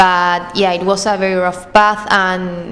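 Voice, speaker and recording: A woman speaks very slowly in an Argentine accent, at medium pitch, with monotone, flat intonation. Noticeable background noise sits behind her. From small town in Argentina. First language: Spanish. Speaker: student. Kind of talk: podcast interview answer.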